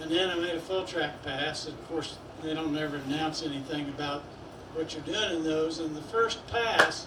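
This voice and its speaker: The recording has audible room echo and noticeable background noise. Its loudness swings widely. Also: man, fairly high pitch for a man, fairly even intonation, moderate pace. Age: 70s. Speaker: drag boat racer. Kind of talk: awards acceptance speech. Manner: halting.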